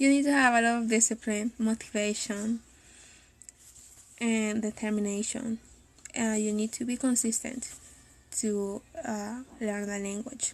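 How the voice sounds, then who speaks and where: With a Spanish accent, a woman speaks at a fairly high pitch in a monotone, flat intonation, somewhat breathy, with long, frequent pauses. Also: fairly slow pace. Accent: non-native Spanish accent in English. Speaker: language teacher and translator. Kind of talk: live video talk. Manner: hesitant, with fillers.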